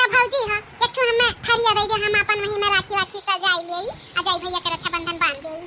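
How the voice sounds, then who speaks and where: Cartoonish character voice from a woman, extremely high-pitched, fairly quick and with hardly any pauses. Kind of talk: rustic comic cartoon acting. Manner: sweet-talking, flattering.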